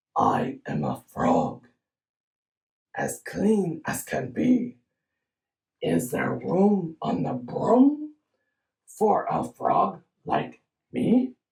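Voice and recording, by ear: Croaky and fairly high, this put-on character voice crawls along at a very slow pace with long, frequent pauses.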